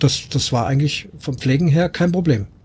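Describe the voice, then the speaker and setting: A man at a fairly high pitch, somewhat breathy, dark and mellow in tone, at a moderate pace with ordinary pitch variation. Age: 50s. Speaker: professional musician and camper. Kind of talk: casual group chat.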